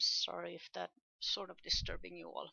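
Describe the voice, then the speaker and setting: In a Swedish accent, a woman speaks at a fairly slow pace. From Sweden. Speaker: podcaster. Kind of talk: casual monologue podcast.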